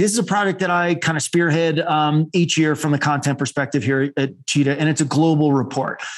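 Over music in the background, a man talks at a fairly quick pace in a fairly high voice. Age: 40s. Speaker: marketing executive and podcast host. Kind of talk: interview.

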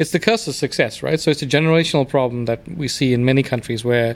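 A man with a South African accent talks at a very fast pace. His fairly high voice has lively intonation. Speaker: immigrant guest. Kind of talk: casual chat.

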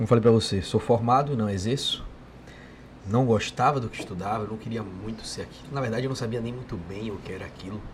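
At a very fast pace, a man speaks in a somewhat breathy, medium-pitched voice with fairly even intonation and big swings in loudness. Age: 30s. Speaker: burger restaurant owner. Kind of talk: casual chat.

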